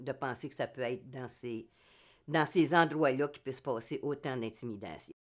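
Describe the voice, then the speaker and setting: A woman's voice sits very deep and low in pitch, captured in a very clean recording against a silent background. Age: 70s. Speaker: amateur theatre actor. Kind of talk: interview testimony. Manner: halting, many hesitations.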